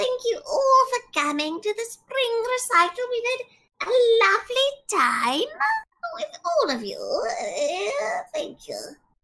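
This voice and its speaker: In a put-on character voice at an extremely high pitch, a woman speaks at a fairly slow pace with long, frequent pauses. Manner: polite, cute.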